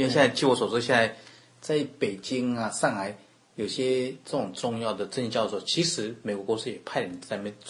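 With a Taiwanese accent, a man talks at a fairly quick pace and medium pitch, using ordinary pitch variation. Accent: Taiwanese Mandarin. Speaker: accountant. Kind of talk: interview.

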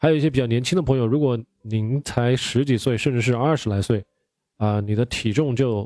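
A dark, mellow tone at a moderate pace, with ordinary pitch variation, is captured dry and close with no echo in a very clean recording against a silent background. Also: man. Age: 30s. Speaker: podcast host on keto diet. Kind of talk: solo podcast monologue.

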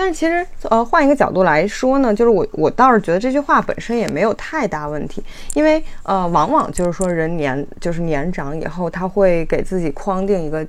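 A woman speaks at a fairly quick pace and medium pitch, her pitch swinging very widely. Noticeable background noise is present. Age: 20s. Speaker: doctoral student and mother, video creator. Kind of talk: casual discussion. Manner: halting, many fillers.

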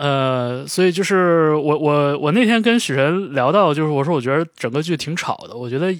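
In a very clean recording with a silent background, a man speaks in a normal speaking voice at a fairly high pitch, a moderate pace and with ordinary pitch variation. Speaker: podcast co-host. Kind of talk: casual chat.

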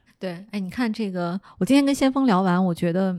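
At a moderate pace, a woman with a medium pitch speaks with lively intonation. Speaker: podcast host. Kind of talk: interview. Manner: animated.

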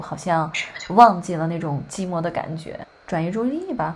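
A woman speaks with ordinary pitch variation. Noticeable background noise runs under her voice. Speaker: podcast host. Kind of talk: casual chat.

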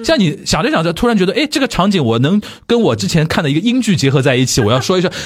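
Over noticeable background noise, a man speaks very fast in a high pitch, with very wide pitch swings yet very even loudness. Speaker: podcast host. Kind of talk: casual chat.

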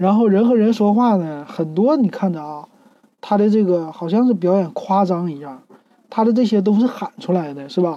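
Fairly quick and at a medium pitch, a woman is speaking. Her pitch swings very widely. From Northeast China, Shenyang. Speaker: podcast host. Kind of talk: casual monologue review. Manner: relaxed, many fillers.

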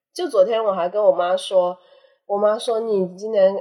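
A woman speaks in a fairly high voice. Her pitch swings very widely. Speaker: podcast guest, anthropology graduate. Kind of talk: casual chat.

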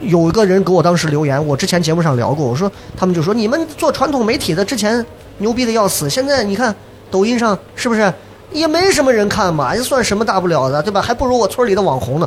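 A high-pitched man talks at a very fast pace with very wide pitch swings. Noticeable background noise is present. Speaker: podcast host and former TV host. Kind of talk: live podcast recording, casual chat. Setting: stage with live audience.

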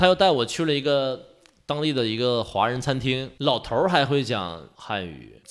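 An animated man with a Northeastern Chinese accent and lively intonation. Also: medium pitch for a man, moderate pace. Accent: Northeastern Mandarin. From Northeast China, Jiamusi, Heilongjiang. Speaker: adventurous traveler. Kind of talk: casual chat.

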